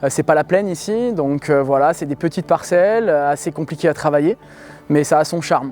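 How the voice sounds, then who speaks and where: A man with a fairly high-pitched voice speaks at a moderate pace. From France, Île-de-France (Essonne). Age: 40s. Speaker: organic farmer. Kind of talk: interview. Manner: hesitant, many fillers.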